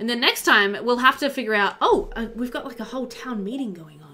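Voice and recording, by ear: This woman talks at a fairly quick pace in a fairly high pitch, her tone bright and sharp and her pitch variation ordinary.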